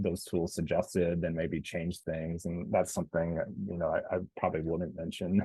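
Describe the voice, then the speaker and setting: Speaking at a moderate pace, a man with an American accent has a very deep, low pitch and flat, monotone intonation. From Kansas, US. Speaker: content designer, former sports writer. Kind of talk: online Q&A panel. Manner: casual, many filler words.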